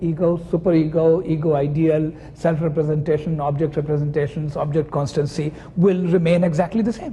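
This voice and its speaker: A man speaks at a moderate pace. His pitch is high. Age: 60s. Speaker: psychoanalyst. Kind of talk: lecture.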